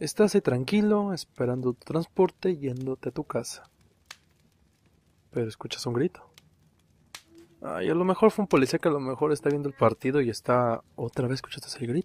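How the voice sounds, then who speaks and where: A soft-spoken man with a fairly high pitch talks with long, frequent pauses and big swings in loudness. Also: lively intonation, dry, close sound with no echo. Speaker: podcaster. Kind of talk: horror storytelling. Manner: slow.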